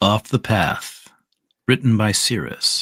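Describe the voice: Over a quiet background, the text gets plain reading aloud, its intonation fairly even.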